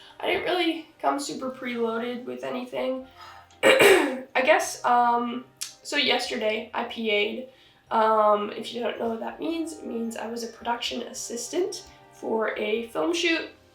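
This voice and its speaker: Noticeable background noise and audible room echo accompany a woman with a high pitch. She talks at a fairly slow pace with lively intonation. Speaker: vlogger and film production assistant. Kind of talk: casual vlog chat. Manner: hesitant, many fillers.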